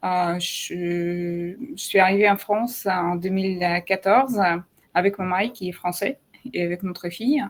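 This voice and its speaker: Speaking fairly slowly, a woman keeps a medium pitch and fairly even intonation. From Ukraine and Russia. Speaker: digital artist. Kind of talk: live video interview. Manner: halting, many hesitations.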